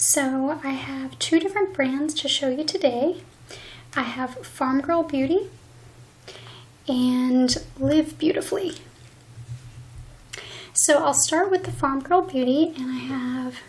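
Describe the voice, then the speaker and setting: Soft-spoken and very slow, a woman talks in a high pitch with ordinary pitch variation. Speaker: beauty reviewer. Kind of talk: ASMR beauty product review.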